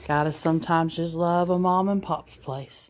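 There is light background noise. A woman speaks at a fairly low pitch. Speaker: food vlogger filming. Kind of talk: casual food review chat. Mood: cheerful, appreciative. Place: home room. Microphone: phone near.

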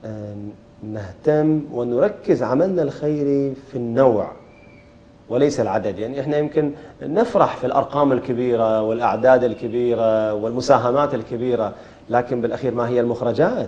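The man's pitch moves in an ordinary way. His pace is moderate. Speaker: interviewer. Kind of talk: interview. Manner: formal. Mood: calm, friendly. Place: studio. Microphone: lapel.

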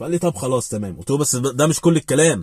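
The sound is dry, without any echo. A man speaks very fast. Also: quiet background. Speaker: vlogger giving advice. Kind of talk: casual vlog chat, storytelling. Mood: animated, recounting a conversation. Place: car. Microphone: phone near.

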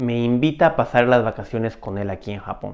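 Fairly quick speech from a man, with a quiet background. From Peru. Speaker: video storyteller. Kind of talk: personal story monologue. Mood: reflective, calm. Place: home room. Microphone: lapel.

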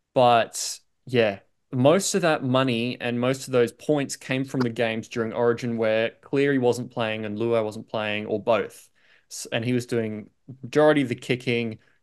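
At a moderate pace, a man speaks with fairly even intonation over a quiet background. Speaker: podcast co-host. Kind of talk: sports fantasy discussion. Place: home room. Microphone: video call.

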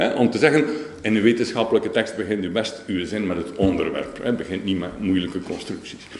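A man with a Flemish accent talks at a fairly quick pace in a fairly low pitch with ordinary pitch variation, amid audible room echo and light background noise. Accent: Flemish Dutch. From Flanders, Belgium. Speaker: professor. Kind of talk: lecture. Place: hall.

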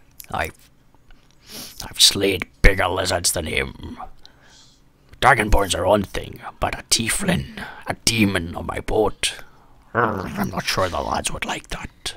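A man puts on a gruff, growling, raspy character voice at a fairly low pitch. He talks at a fairly slow pace with long, frequent pauses. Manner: gruff, intimidating, put-on pirate act.

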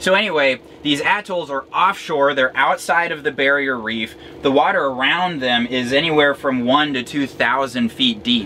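There is light background noise as a man talks at a moderate pace. He has ordinary pitch variation and hardly any pauses. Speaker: sailing vlogger. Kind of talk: explanatory vlog chat. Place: boat. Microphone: camera far.

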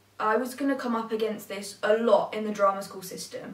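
The speech comes at a moderate pace with a fairly even intonation and an English accent. Audible room echo surrounds it. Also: woman. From England. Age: young. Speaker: vlogger. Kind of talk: personal vlog monologue. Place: home room.

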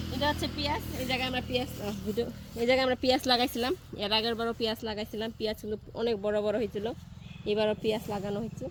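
A woman with a rather high voice keeps her intonation fairly level while noticeable noise carries on behind her. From rural Bangladesh. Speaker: village vlogger. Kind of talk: casual vlog narration.

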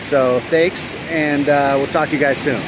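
The man's voice comes across dry with no echo while noticeable background noise continues. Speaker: weight loss vlogger. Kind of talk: casual vlog chat. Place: beach. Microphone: phone near.

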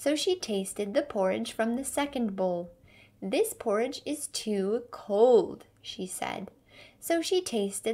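An unforced reading voice carries the words. Its intonation is lively.

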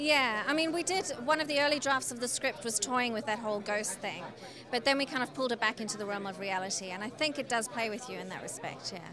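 Very fast and enthusiastic, a woman with a fairly high pitch and lively intonation speaks in a dry sound with no echo over noticeable background noise. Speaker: film director. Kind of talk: interview. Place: hall. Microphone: handheld.

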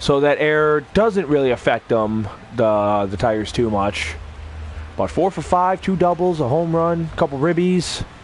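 With music in the background, a man of fairly high pitch speaks at a moderate pace, his pitch swinging very widely. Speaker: gaming streamer. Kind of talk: casual gaming stream, profane rambling. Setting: home stream, recorded gameplay. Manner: rambling, profane, casual.

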